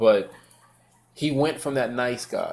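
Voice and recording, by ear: Ordinary pitch variation shapes a man's slightly mellow tone.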